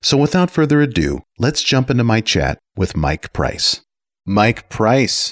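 A man talks at medium pitch with vocal fry and very even loudness. The sound is dry and close, with no echo. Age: 50s. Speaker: podcast host. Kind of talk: interview; scripted intro.

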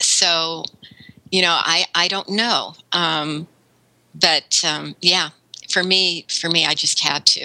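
A woman speaks very slowly in a fairly low, flat monotone with vocal fry. The sound is dry and close with no echo, and long pauses come often. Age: 60s. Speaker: web content writer and consultant. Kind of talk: interview.

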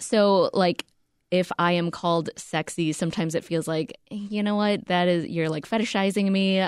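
A woman at medium pitch in an ordinary speaking voice, with fairly even intonation, very even loudness, a moderate pace and a dry, close sound with no echo. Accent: American. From US, Korean American. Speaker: podcast co-host and reporter. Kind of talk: interview.

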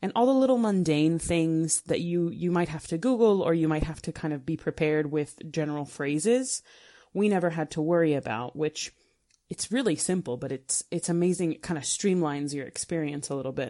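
Speaking at a fairly quick pace, a woman with an American accent has a fairly low pitch, a dark, mellow tone and lively intonation. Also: quiet background. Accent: clear American. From United States. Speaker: travel blogger. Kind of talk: recorded contribution.

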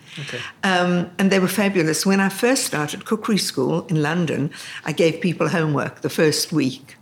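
Noticeable background noise sits behind a woman speaking at a moderate pace. She has a fairly low pitch with ordinary pitch variation. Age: 70s. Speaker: cookery school founder. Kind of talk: casual interview. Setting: cookery school.

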